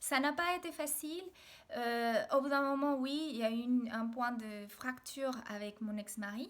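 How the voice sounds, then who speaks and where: At a fairly slow pace, a woman with a Mexican accent speaks at a high pitch with ordinary pitch variation. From Mexico, Mexico City. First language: Spanish (speaking French). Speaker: video blogger. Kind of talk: personal video diary. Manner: hesitant, many fillers.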